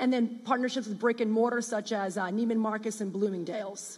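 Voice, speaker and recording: This woman has a US Northeastern accent and a fairly high pitch. Her intonation stays fairly even. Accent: US Northeast. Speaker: startup founder. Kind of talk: pitch presentation.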